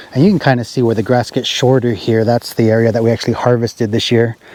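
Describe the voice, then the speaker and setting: A man's monotone, flat intonation amid noticeable background noise. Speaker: hay farmer and vlogger. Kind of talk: casual farm vlog tutorial. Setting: outdoors in a field by a tractor. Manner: loud, talking over machinery.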